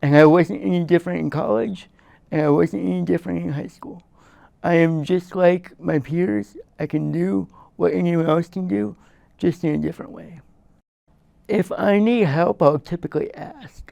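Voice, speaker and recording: The man's dark, mellow tone sits at a fairly high pitch, moving at a moderate pace with very wide pitch swings and big swings in loudness. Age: 20s. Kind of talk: interview answers. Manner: halting, with fillers and repeats.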